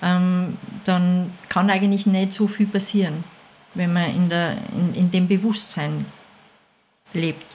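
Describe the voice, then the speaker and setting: A woman's medium-pitched, somewhat breathy voice at a very slow pace, with long, frequent pauses, very even loudness and monotone, flat intonation. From Austria, Salzburg region (Mondsee). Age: 50s. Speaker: dog food maker, business owner. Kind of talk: casual interview.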